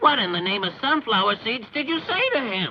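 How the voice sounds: This cartoonish character voice moves at a fairly quick pace with a fairly high pitch.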